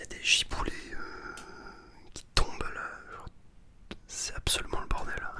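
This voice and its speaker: A man whispering at a fairly slow pace amid noticeable background noise. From Northern France. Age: 20s. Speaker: ASMR artist. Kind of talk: ASMR video. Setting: bedroom. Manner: whispered.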